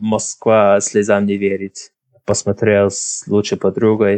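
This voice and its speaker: A man with an English accent speaks at a fairly low pitch, recorded with a dry, close sound and no echo. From Ireland, Drogheda. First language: English (speaking Russian). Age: 20s. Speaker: podcast guest. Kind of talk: interview. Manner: halting.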